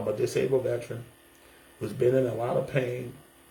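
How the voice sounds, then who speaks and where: A man with an American accent talks at a very fast pace in a medium pitch. There is audible room echo and noticeable background noise. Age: 60s. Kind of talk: testimony vlog. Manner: animated; halting.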